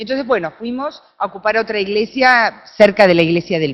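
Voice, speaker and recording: Speaking in an Argentine accent, a woman uses a medium pitch, lively intonation and a moderate pace. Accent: Argentine, noticeable. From Argentina. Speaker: researcher, conference speaker. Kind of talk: conference talk.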